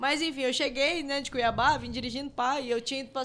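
A woman speaks fast-ish, at a fairly quick pace, with a high pitch. Her intonation is monotone and flat, over noticeable background noise. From Mato Grosso, Brazil (Rondonópolis). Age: 30s. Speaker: advertising professional and crypto investor. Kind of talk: casual chat.

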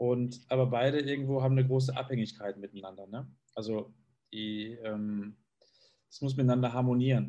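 This man speaks with fairly even intonation. His tone is dark and mellow. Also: medium pitch for a man, moderate pace. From Germany, East Westphalia (Bielefeld). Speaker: sales manager. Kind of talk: interview. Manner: halting, many fillers and repetitions.

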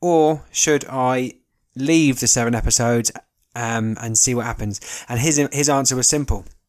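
This man has a southern English accent. His intonation stays fairly even. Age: 20s. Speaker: podcast host. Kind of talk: casual monologue. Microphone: new recording equipment.

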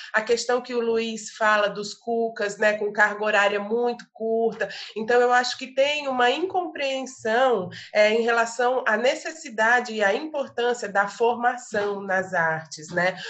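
A woman's fairly high pitch at a fairly slow pace, with hardly any pauses and ordinary pitch variation. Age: 40s. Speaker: visual artist and arts educator. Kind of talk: casual chat. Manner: halting.

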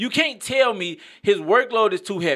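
A man's raised, projected voice with an American accent, animated and bright with a sharp tone, very wide pitch swings and a moderate pace, on a very clean recording with a silent background. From Maywood, Illinois (Chicago area). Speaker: artist and author. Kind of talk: casual sports chat. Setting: studio.

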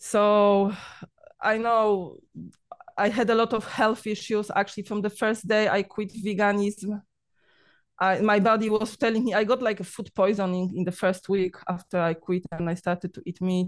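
At a moderate pace, a woman with a Polish accent speaks at a medium pitch with fairly even intonation over a quiet background. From Poland. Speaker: vegan diet YouTuber. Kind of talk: casual interview. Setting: video call. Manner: talkative; laughs often.

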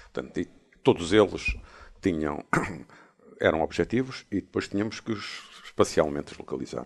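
With lively intonation, a man talks with vocal fry. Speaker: professor emeritus, podcast co-host. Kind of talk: casual chat.

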